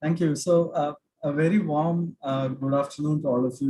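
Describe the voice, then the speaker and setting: A man with a South Indian accent speaks at a moderate pace in a monotone, flat intonation, his voice somewhat breathy with a dark, mellow tone. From South India, Cochin (Kerala). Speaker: finance expert, workshop speaker. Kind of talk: online lecture. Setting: video call. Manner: halting, many fillers.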